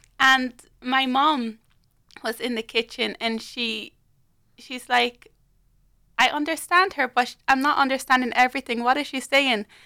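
A woman speaks in a raised, projected, high-pitched voice with a bright, sharp tone. Her pace is moderate and her intonation fairly even, with long, frequent pauses and big swings in loudness. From Liberia and Ireland. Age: young. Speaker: youth worker. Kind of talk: casual chat. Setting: studio.

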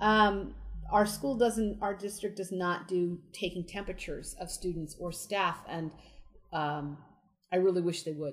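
A woman with a plain, everyday voice talks at a fairly slow pace, her pitch fairly low with ordinary pitch variation. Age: 40s. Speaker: elementary school teacher. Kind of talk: interview. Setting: outdoors.

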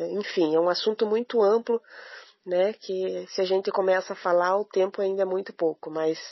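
A woman talks at a moderate pace and a medium pitch with fairly even intonation, in an ordinary speaking voice. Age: 40s. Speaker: visually impaired runner. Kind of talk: testimony. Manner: emotional.

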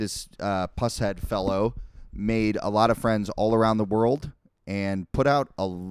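In a very clean recording with a silent background, a man with an unremarkable speaking voice talks at a fairly low pitch and a moderate pace, with ordinary pitch variation. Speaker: podcast host. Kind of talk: casual chat. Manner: conversational, rambling.

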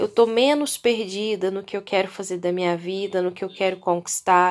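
On a very clean recording with a silent background, a woman speaks in a normal speaking voice. Her pace is moderate and her pitch varies in an ordinary way. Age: 30s. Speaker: podcast host. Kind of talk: solo casual monologue. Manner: chatty, conversational.

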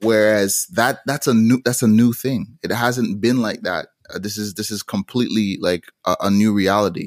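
In a plain, everyday voice, a man at a medium pitch speaks with fairly even intonation, the sound dry and close with no echo, on a very clean recording with a silent background. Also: moderate pace. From Montreal, Canada, with Jamaican roots. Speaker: musician. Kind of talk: interview.

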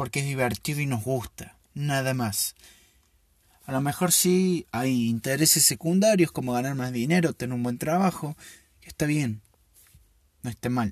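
A somewhat breathy man, fairly high in pitch, with lively intonation at a fairly slow pace, dry and close with no echo in a very clean recording with a silent background. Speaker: podcast host. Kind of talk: casual solo monologue.

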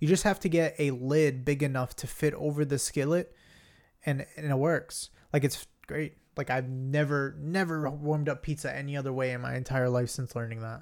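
The recording is very clean, with a silent background. A man speaks in an animated tone at a moderate pace. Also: fairly high pitch for a man. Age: 20s. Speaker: podcast co-host, IT help desk worker. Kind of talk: casual chat.

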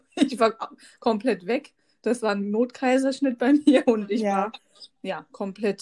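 A woman speaks at a moderate pace in a dark, mellow tone with ordinary pitch variation. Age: 30s. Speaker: podcast co-host, mother. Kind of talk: casual chat.

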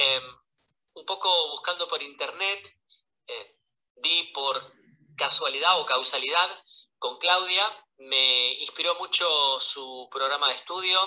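Very slow male speech, full of long, frequent pauses and big jumps in loudness. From Buenos Aires, Argentina. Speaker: English teacher and course student. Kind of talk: recorded voice message.

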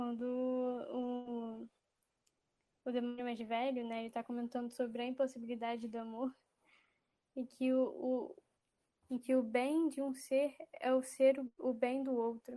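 Speaking with a high pitch yet a dark, mellow tone, a woman keeps a monotone, flat intonation at a fairly slow pace with long, frequent pauses. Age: 20s. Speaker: university student. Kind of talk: casual chat.

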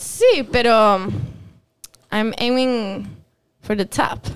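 Her pitch fairly high and her intonation fairly even, a woman speaks with long, frequent pauses. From Quebec, partly raised in Mendoza, Argentina. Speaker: singer. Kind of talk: interview.

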